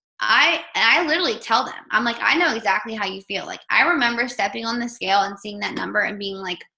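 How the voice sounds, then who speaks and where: A woman speaks with lively intonation and an animated, bright, sharp tone at a fairly high pitch. Audible room echo surrounds her voice. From Maryland, US. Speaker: online health coach and news reporter. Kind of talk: team call talk. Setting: conference call. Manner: fast.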